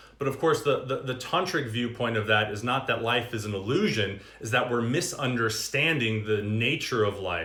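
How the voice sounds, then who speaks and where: A man with a medium-pitched voice talks amid audible room echo and noticeable background noise. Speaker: yoga and meditation teacher. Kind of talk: livestream dharma talk. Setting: Instagram live stream. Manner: animated.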